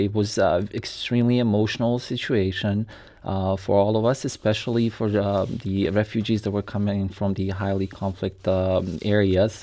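A man with a Bosnian accent talks at a moderate pace and fairly low pitch. His delivery is flat and monotone. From Bosnia and Herzegovina. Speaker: former refugee. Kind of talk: radio interview.

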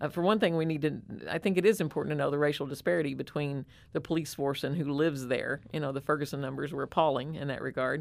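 Over a very clean recording with a silent background, a woman talks at a very fast pace in a very deep, low pitch with vocal fry. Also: ordinary pitch variation. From rural Southern Illinois. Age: 60s. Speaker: nonprofit executive director, former state legislator. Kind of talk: interview. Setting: studio.

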